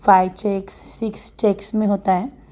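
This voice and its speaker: Against noticeable background noise, a woman speaks at a medium pitch in a monotone, flat way. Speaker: vlogger. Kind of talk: casual vlog talk.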